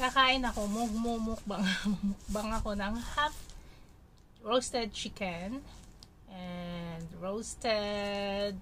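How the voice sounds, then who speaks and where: Light background noise sits behind a woman who speaks at a very slow pace. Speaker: food vlogger. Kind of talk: casual vlog chat. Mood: cheerful, festive. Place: home room. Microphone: phone near.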